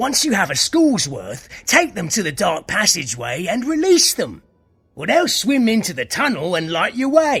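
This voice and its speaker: Over faint background music, a man uses a put-on character voice pitched high. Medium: video game. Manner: brisk, commanding.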